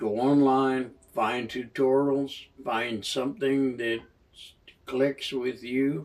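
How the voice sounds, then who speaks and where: In a relaxed tone, a man talks at a very slow pace with a medium pitch and fairly even intonation. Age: 70s. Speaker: amateur banjo player and channel host. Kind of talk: casual talk to camera. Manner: relaxed, hesitant with fillers.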